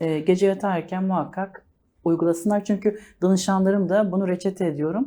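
A woman talks at a fairly quick pace with fairly even intonation. Her medium-pitched voice has a dark, mellow tone. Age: 40s. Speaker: life coach. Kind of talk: TV interview.

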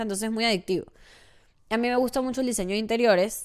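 A woman at a very fast pace, with fairly even intonation, over a quiet background. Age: 20s. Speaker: content creator. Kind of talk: casual monologue. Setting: home studio. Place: home room. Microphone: studio mic.

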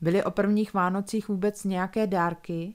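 The voice delivers plain reading aloud with fairly even intonation.

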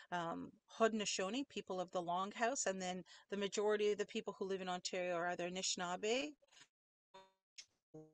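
With music in the background, a woman talks at a fairly quick pace yet with long, frequent pauses, her medium pitch showing ordinary variation in a dry, close sound with no echo. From Ontario First Nation. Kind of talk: webinar presentation.

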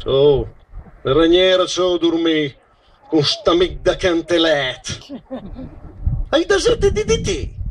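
A man in a Romagnolo accent at a very slow pace. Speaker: poetry reader. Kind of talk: poetry reading. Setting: outdoors. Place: stage. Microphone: handheld.

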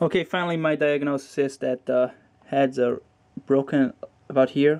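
With light background noise behind him, a man speaks at a moderate pace with a non-native accent. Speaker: hobbyist repairing hard drive. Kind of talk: casual tutorial talk to camera. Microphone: phone near.

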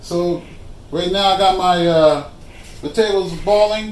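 The man talks at a fairly slow pace. Audible echo from the room surrounds his voice. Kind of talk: casual cooking vlog chat. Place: kitchen. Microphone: phone near.

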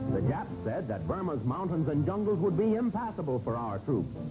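A man's pitch swings very widely as he talks at a moderate pace, with music in the background. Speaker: newsreel narrator. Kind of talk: newsreel narration.

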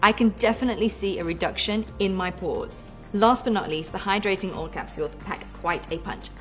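A woman at a fairly quick pace with hardly any pauses, faint music in the background. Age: 30s. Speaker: mother, product tester. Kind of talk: product testimonial. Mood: upbeat, enthusiastic. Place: home room.

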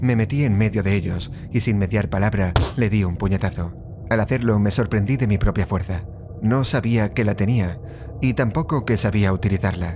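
Over noticeable background noise, a man with a fairly low pitch speaks at a moderate pace in a dramatic, intense tone, with very even loudness and ordinary pitch variation. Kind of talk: scripted horror story narration, first-person creepypasta. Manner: suspenseful, hushed, dramatic pacing with pauses; intense, menacing build-up toward the killing.

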